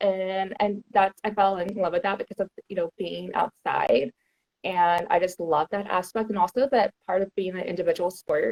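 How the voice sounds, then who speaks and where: A woman with an American accent uses a normal speaking voice at medium pitch, a moderate pace and fairly even intonation. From Texas, Houston. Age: 30s. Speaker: outdoor content creator. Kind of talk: casual chat.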